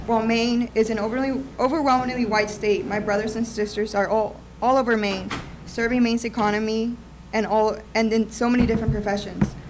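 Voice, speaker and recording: A woman's fairly high voice in a Spanish accent, monotone and flat, at a fairly quick pace, with noticeable background noise and audible room echo. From Mexican American. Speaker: public commenter. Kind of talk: public comment speech. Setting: county commission meeting in courtroom.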